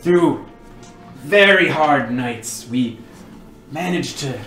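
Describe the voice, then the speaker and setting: Using a gruff, put-on character voice with lively intonation, a man speaks at a very slow pace amid clear background noise. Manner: gruff, hostile then weary.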